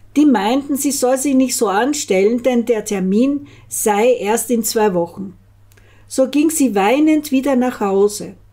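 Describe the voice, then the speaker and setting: A woman with a high pitch and a dark, mellow tone speaks at a very slow pace, her loudness very even. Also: ordinary pitch variation, quiet background. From Austria. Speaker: storyteller. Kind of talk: reading aloud. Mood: calm, even storytelling. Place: home room. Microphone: studio mic.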